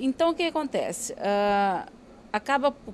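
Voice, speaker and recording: A woman with a Rio de Janeiro accent speaks at a fairly slow pace. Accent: carioca. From Rio de Janeiro, Brazil. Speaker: doctor. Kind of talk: interview. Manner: hesitant with fillers.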